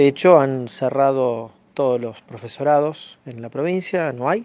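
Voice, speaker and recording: A Rosario accent at a moderate pace, with ordinary pitch variation. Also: man. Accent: Argentine Spanish (Rosario, rioplatense). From Argentina, Santa Fe province near Rosario. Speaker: computer science teacher. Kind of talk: radio interview. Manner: hesitant, many fillers.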